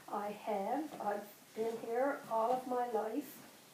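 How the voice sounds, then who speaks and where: A woman with a fairly high pitch talks amid noticeable background noise and audible room echo. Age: 50s. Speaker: grandmother. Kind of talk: interview.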